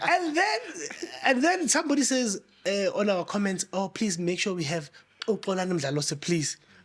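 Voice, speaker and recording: A man with a high pitch talks at a moderate pace, his tone animated. His pitch swings very widely, and background noise is noticeable. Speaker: podcast host. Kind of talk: podcast intro and interview, code-switching English and Zulu.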